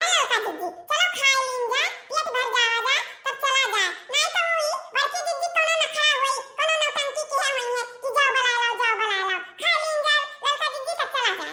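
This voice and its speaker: A woman uses a cartoonish character voice at an extremely high pitch, with lively intonation and a moderate pace. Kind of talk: rural dialect comedy. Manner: chatty, sly.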